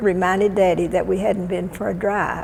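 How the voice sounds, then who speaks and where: In a Texan accent, a woman speaks at a fairly slow pace, with audible room echo and noticeable background noise around her. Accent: Texan Southern. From Texas (Waco, Central Texas). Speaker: elderly resident sharing life story. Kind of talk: oral history interview. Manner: halting.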